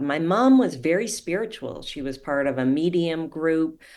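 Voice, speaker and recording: A woman with a Canadian accent speaks at a moderate pace on a very clean recording with a silent background. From Canada. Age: 50s. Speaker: life coach. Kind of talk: podcast interview.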